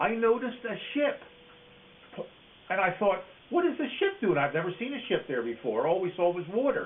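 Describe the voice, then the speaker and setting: A man speaks at a moderate pace, his pitch swinging very widely. Long pauses come often, over noticeable background noise. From Philadelphia, Pennsylvania. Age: 80s+. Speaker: war veteran. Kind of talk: oral history interview. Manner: halting, with frequent fillers.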